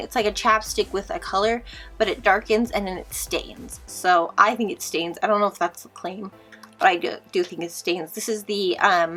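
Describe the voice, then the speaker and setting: Over background music, a woman puts on a raspy character voice at a medium pitch and a moderate pace. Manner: talking fast.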